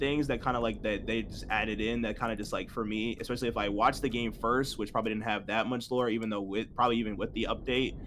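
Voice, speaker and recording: Music plays in the background. A man speaks very fast at a medium pitch. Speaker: movie review host. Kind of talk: casual group discussion. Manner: halting, many fillers.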